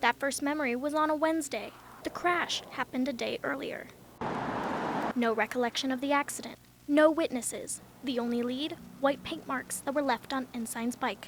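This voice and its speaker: Amid noticeable background noise, a woman speaks at a high pitch and moderate pace with fairly even intonation. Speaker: TV news reporter. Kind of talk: TV news report.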